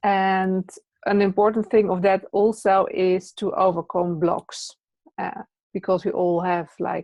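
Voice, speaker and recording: The speaker has a Dutch accent and a monotone, flat intonation. The pace is fairly slow. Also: woman, medium pitch for a woman. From Netherlands. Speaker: presence teacher and trainer. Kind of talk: interview.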